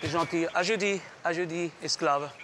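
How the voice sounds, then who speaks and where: This man has a fairly high voice. His pitch varies in an ordinary way. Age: 60s. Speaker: retired leaflet distributor. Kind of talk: documentary interview.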